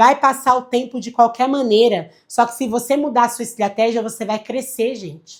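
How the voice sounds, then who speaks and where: In a very clean recording with a silent background, a woman speaks at a moderate pace. Her high-pitched voice has an animated tone. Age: 30s. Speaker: financial advisor. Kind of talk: livestream lecture.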